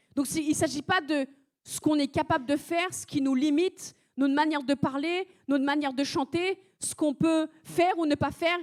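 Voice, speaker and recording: Her pitch is high and her intonation fairly even. The woman speaks with a non-native accent. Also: fairly quick pace, dry, close sound with no echo. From France (arrived at age seven). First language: not French (speaking French). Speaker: preacher. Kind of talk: sermon. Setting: church service.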